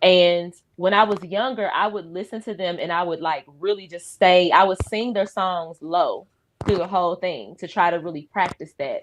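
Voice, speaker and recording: A woman keeps her intonation fairly even and her pace moderate. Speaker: singer. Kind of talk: casual chat.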